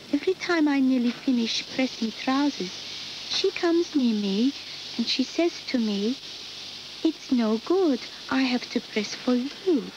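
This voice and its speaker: A woman with a Turkish accent speaks at a fairly slow pace in a high pitch, her intonation lively and her loudness very even, leaving long, frequent pauses over noticeable background noise. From Turkey. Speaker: factory worker. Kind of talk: documentary testimony.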